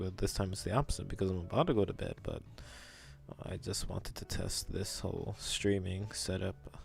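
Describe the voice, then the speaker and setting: This man's voice is somewhat breathy and fairly low in pitch, with ordinary pitch variation. He keeps a moderate pace. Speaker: digital artist streamer. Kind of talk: casual live stream chat while drawing. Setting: live stream. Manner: low-energy, relaxed.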